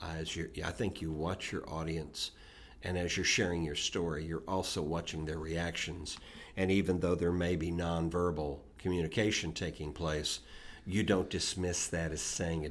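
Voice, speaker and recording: A man with a very deep, low voice speaks at a moderate pace in a monotone, flat intonation. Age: 60s. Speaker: podcast co-host. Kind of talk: casual chat.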